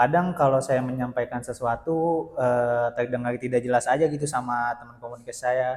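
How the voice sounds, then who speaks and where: Ordinary pitch variation in a man's medium-pitched voice, delivered at a moderate pace. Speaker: university student, interviewee. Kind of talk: interview.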